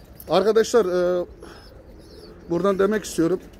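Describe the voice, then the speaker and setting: A man speaks at a moderate pace in a high voice, his intonation fairly even, with light background noise and a dry sound with no echo. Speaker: pigeon vlogger host. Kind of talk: casual vlog chat. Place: garden. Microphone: phone near.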